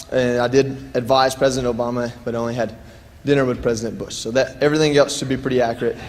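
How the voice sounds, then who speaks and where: A man with a Southern US accent, monotone and flat in intonation, medium in pitch, at a fairly quick pace, with audible room echo and noticeable background noise. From US South, Dalton, Georgia. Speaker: war veteran. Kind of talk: keynote speech. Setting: stage with audience. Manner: conversational, joking.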